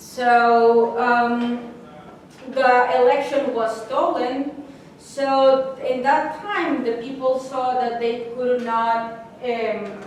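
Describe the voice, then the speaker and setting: In a Spanish accent, a woman speaks very slowly at a high pitch with fairly even intonation, over noticeable background noise and audible room echo. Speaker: graduate research fellow, historian. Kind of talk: lecture. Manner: halting, with frequent restarts.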